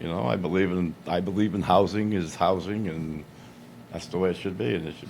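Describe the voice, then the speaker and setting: A man with a very deep, low pitch speaks at a fairly quick pace. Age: 70s. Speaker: applicant for town board seat. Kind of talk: public meeting remarks. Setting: town board meeting.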